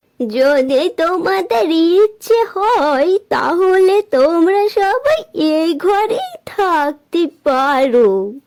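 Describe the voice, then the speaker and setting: A woman does a cartoonish character voice at an extremely high pitch, very slow, with very wide pitch swings. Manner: gentle, caring.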